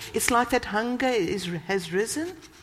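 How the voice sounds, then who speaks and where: In a South African accent, a woman talks at a fairly high pitch. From South Africa, Cape Town. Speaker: church leader and guest preacher. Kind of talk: sermon. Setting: church. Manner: animated.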